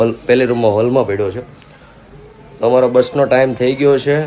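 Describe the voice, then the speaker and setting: A man speaking in fairly even intonation amid noticeable background noise. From Gujarat, Saurashtra. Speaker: family vlogger. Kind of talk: casual vlog talk.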